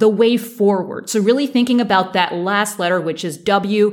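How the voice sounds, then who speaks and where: It is a normal speaking voice with ordinary pitch variation. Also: woman. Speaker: leadership coach. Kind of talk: podcast monologue on coaching.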